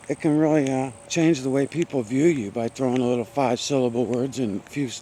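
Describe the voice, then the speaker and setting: Over noticeable background noise, a man mumbles at a moderate pace. His pitch is medium, with ordinary variation. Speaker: vlogger hiking outdoors. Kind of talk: casual vlog monologue while walking. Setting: outdoors on a forest trail. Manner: mumbling; rambling with many fillers.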